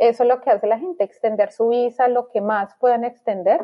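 A woman talks at a moderate pace in a plain, everyday voice. Her pitch sits fairly high, and her intonation stays fairly even. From Colombia, Bogotá. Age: 30s. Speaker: immigrant mother. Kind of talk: interview.

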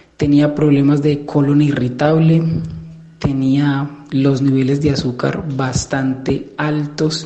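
A man speaks very slowly in a flat, monotone way at a fairly high pitch for a man, with audible room echo and noticeable background noise. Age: 20s. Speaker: listener sharing diet experience. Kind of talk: testimony.

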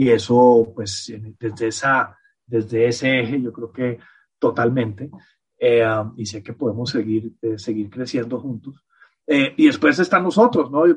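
A man talks at a fairly slow pace in a medium, somewhat breathy voice with ordinary pitch variation. His loudness swings widely. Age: 50s. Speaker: podcast guest, host's partner. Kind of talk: casual chat. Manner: halting.

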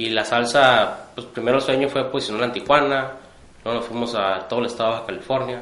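A man's fairly even intonation comes through noticeable background noise, with room echo clearly audible. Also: medium pitch for a man, fairly quick pace. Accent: northern Mexican. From Tijuana, Mexico. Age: 30s. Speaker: entrepreneur, hot sauce maker. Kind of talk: interview.

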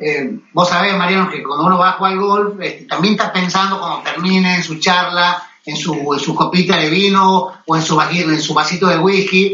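Over noticeable background noise and audible room echo, the speaker talks at a moderate pace with fairly even intonation in an Argentine accent. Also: man, high pitch for a man. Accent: Argentine Spanish (voseo). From Argentina. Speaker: golf magazine editor. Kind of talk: interview. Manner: halting, many fillers and repetitions.

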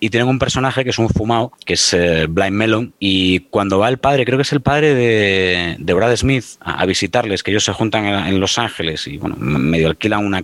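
There is noticeable background noise as a man speaks at a fairly quick pace. His pitch is fairly low, with ordinary variation. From Spain, Galicia (Pontevedra). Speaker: former radio presenter, music commentator. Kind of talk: casual chat. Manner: hesitant, repeats words.

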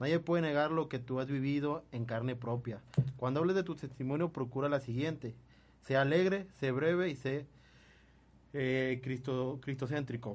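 A man with a fairly high pitch and a plain, everyday voice talks at a moderate pace with ordinary pitch variation. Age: 20s. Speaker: radio host. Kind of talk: casual chat.

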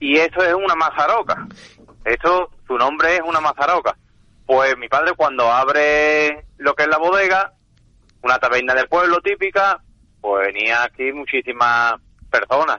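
Lively intonation colors an ordinary speaking voice that moves at a fairly slow pace. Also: man, fairly high pitch for a man. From Andalusia, Seville province. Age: 40s. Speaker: chef and family restaurant owner. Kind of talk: interview.

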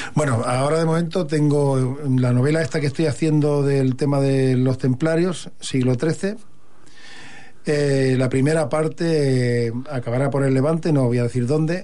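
The tone is dark and mellow, the pace fairly slow, the loudness very even and the intonation fairly even, with audible room echo. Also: man. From Catalonia, Hospitalet de Llobregat. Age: 50s. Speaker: poet. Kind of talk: radio interview.

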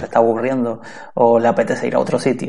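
Noticeable background noise runs under this recording. A man talks at a very fast pace and medium pitch. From Canary Islands, Spain. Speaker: podcaster. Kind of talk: interview.

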